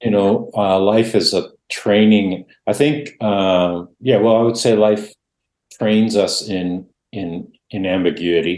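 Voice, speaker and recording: A man speaks very slowly in a Canadian accent. His fairly low voice keeps a fairly even intonation. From Canada, Dutch immigrant family. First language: Dutch. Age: 60s. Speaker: author and former pastor. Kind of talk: interview. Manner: reflective, hesitant.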